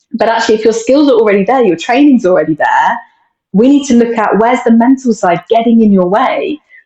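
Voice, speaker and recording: In a British accent, a woman with a fairly high pitch talks at a very fast pace, with ordinary pitch variation and very even loudness. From UK. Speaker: mental performance coach. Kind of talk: casual interview.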